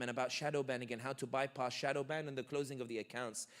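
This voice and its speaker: A man with a London accent speaks at a very fast pace. His tone is animated. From London, England. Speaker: political commentator. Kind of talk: Q&A talk.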